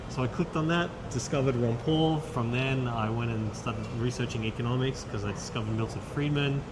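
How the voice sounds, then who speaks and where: Amid noticeable background noise and audible room echo, a man speaks fairly quickly at a medium pitch with ordinary pitch variation. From Australia, Sydney. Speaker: investment advisor. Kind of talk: interview. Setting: conference.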